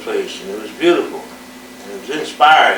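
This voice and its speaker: A man is heard in a room with audible echo. Noticeable background noise is present too. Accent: American. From Indiana, US Midwest. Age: 70s. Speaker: musician recounting his life. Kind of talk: oral history monologue. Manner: halting, with many fillers and self-corrections.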